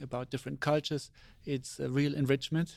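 Speaking in a German accent, a man with a medium pitch keeps a monotone, flat intonation in a very clean recording with a silent background. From Germany, Saarland near Ramstein. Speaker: astronaut. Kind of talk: interview. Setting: studio.

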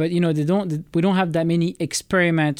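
A man's fairly high-pitched voice with a French accent, on a very clean recording with a silent background. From France. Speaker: space biology project manager. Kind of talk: interview. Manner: halting.

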